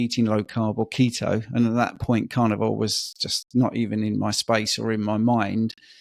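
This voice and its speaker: Recorded very cleanly against a silent background, a man speaks at a moderate pace, the sound dry and close with no echo. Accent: British. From UK. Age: 50s. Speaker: personal trainer and diet coach. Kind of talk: podcast interview, personal story.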